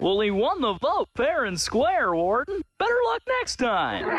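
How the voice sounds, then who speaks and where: Putting on a character voice, a man speaks fairly slowly at an extremely high pitch with very wide pitch swings. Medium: comedy sketch.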